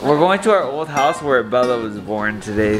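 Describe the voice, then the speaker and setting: A man talks at a fairly quick pace with clear music in the background. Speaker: family vlogger. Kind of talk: casual vlog chat. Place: home room. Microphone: phone near.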